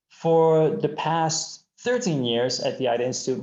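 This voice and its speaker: Speaking with a plain, everyday voice, a man keeps a moderate tempo and his pitch moves in an ordinary way. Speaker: presenter from a hearing care nonprofit. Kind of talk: webinar presentation. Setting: online webinar.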